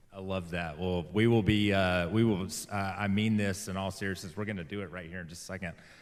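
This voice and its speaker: A man speaks very fast in a very deep, low pitch with monotone, flat intonation and big swings in loudness. Music plays in the background, and the room echo is audible. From Alabama. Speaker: church host. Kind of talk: interview.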